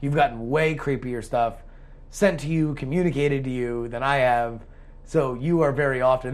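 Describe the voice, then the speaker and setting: There is audible room echo in the recording. The voice belongs to a man. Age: 30s. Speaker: podcast co-host. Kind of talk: casual chat.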